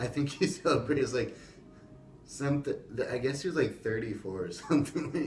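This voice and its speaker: A man's plain, everyday voice, fairly high in pitch, at a moderate pace with lively intonation. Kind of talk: casual podcast conversation.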